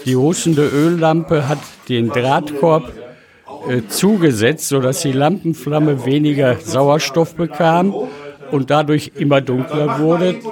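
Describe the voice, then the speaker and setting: Over noticeable background noise, a man speaks at a very slow pace in a fairly high pitch. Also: ordinary pitch variation. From Ruhr area, Germany (Recklinghausen). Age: 70s. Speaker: retired miner and mining lamp collector. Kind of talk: interview. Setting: collectors' meeting in a cellar.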